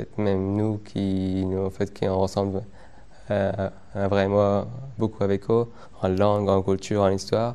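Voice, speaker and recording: Monotone and flat, a man's fairly low voice with a dark, mellow tone moves at a fairly slow pace, broken by long, frequent pauses. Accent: Afghan. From Afghan, raised in Iran. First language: Dari Persian (speaking French). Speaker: former unaccompanied migrant. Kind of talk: interview testimony. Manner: halting, many repetitions.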